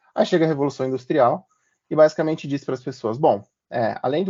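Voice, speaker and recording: A man's pitch is medium. He speaks at a fairly quick pace. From Brazil, moved between many cities. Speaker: marketing professional presenting a workshop. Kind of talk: workshop presentation. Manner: casual, with many filler words.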